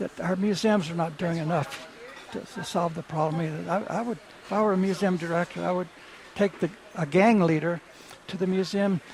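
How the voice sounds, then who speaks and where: A man with an American accent talks at a fairly quick pace and a high pitch. His intonation stays fairly even over noticeable background noise. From Texas. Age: 80s+. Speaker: author and art dealer. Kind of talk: radio interview. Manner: halting, with many repetitions.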